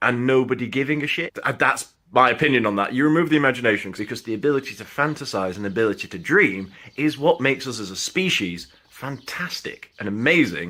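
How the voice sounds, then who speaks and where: Very fast, with hardly any pauses, in a Sheffield accent, animated in tone and lively in intonation, with a bright, sharp edge. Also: man. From northern England, Sheffield. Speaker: film reviewer and actor. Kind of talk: casual film review monologue. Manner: animated, informal.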